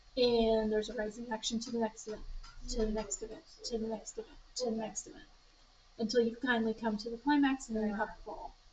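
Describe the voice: A woman talks at a fast pace in a fairly high pitch, with little pitch movement. Her tone is slightly mellow with a slightly husky edge.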